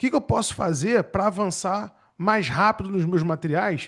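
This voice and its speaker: Against a quiet background, a speaker with a Rio de Janeiro accent talks at a moderate pace with lively intonation. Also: man. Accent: Rio de Janeiro (carioca). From Rio de Janeiro, Brazil. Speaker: public defender and exam-prep teacher. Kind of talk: webinar talk. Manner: casual, conversational.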